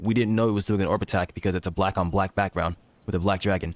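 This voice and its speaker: A man races through his words at a very fast pace while his intonation stays fairly even. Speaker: gaming streamer. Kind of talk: live stream commentary. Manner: disciplined, proper-sounding.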